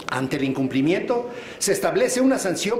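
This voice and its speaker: A man speaks with lively intonation. Audible room echo and noticeable background noise surround his voice. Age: 60s. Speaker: state legislator. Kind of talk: legislative speech. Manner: formal.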